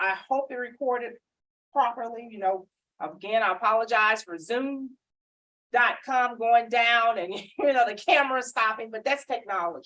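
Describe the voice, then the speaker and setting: A woman with a Southern US accent speaks loudly at a moderate pace. Her pitch is fairly high, with ordinary variation. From Mississippi. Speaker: government small business outreach official. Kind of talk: panel discussion at public event.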